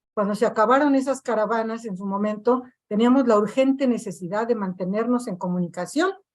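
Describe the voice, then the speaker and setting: A woman speaks in a normal speaking voice, fairly high in pitch, with ordinary pitch variation at a fairly quick pace. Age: 60s. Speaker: victims' collective activist. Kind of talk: panel discussion.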